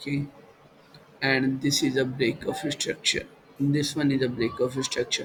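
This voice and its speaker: With an Indian accent, a man speaks fairly slowly at a fairly high pitch, using fairly even intonation, very even loudness and long, frequent pauses. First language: Hindi. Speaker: trading educator. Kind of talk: tutorial. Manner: halting, many fillers.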